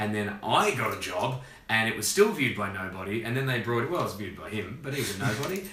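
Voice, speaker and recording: Amid noticeable background noise and audible room echo, a man with an Australian accent talks very fast in an animated tone. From Australia (Perth). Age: 30s. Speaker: comedian. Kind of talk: casual chat.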